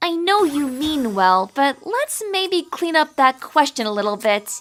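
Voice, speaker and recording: A cartoonish character voice, female-sounding, high-pitched, with very wide pitch swings. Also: fairly slow pace. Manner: earnest, precise, quick to bristle.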